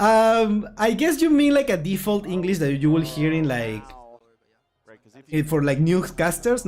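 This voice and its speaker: Over music in the background, a man with a strong Puerto Rican accent talks at a moderate pace in a high pitch, with very wide pitch swings. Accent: Puerto Rican accent, strong per self. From Puerto Rico. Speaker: gaming YouTuber, card game streamer. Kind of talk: casual livestream chat. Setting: livestream watchalong.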